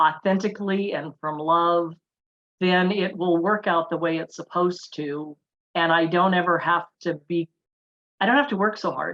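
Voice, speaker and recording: Using a plain, everyday voice, a woman speaks at a moderate pace with a fairly low pitch and ordinary pitch variation. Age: 60s. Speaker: wellness summit panelist. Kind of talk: panel discussion.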